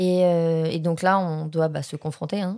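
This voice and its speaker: A woman speaks at a moderate pace in a fairly low pitch with flat, monotone intonation, on a very clean recording with a silent background. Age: 20s. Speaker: acting student. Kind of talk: testimony.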